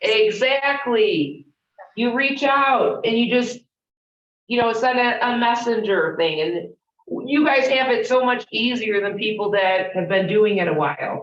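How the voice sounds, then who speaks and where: A woman with a Chicago accent speaks at a fairly slow pace in a fairly high pitch. Her intonation is lively. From Chicago, US Midwest. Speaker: real estate trainer. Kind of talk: interactive training session.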